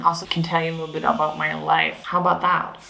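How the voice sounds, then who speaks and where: A woman's fairly low, monotone, flat voice at a very fast pace, with audible room echo and noticeable background noise. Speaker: video blogger. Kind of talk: personal vlog while painting.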